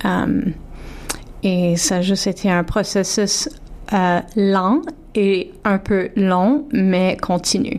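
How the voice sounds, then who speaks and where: A woman with a medium-pitched voice talks very slowly, her pitch varying in an ordinary way. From Toronto, Ontario (Franco-Ontarian). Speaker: singer. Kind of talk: radio interview. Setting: radio studio. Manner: halting.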